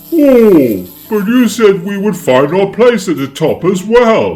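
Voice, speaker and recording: A put-on character voice from a man, high-pitched and fairly slow, with faint music in the background. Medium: read story.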